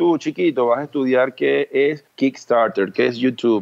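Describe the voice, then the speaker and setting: A man with a medium pitch, an ordinary speaking voice, fairly even intonation and a fairly quick pace. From Venezuela, Cumaná. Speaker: entrepreneur and speaker. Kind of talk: interview.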